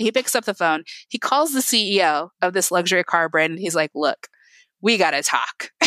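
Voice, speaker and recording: A woman with a Midwestern American accent, medium pitch and a bright, sharp tone at a moderate pace, in a dry, close sound with no echo. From Indiana, US Midwest. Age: 30s. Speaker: tech customer success manager. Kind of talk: interview.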